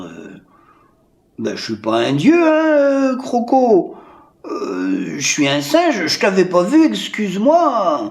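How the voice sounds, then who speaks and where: Using a put-on character voice with an extremely high pitch, a man speaks at a very slow pace with long, frequent pauses. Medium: read story.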